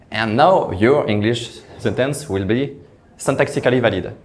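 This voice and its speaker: A man speaks with a French accent, with audible room echo in the recording. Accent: French, noticeable. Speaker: software engineer. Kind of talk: conference talk. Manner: halting, repeated words.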